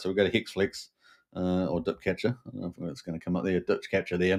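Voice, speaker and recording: Speaking at a fairly quick pace, a man is heard on a very clean recording with a silent background. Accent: New Zealand. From New Zealand. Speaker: crypto show host. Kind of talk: live stream commentary. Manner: many fillers and hesitations.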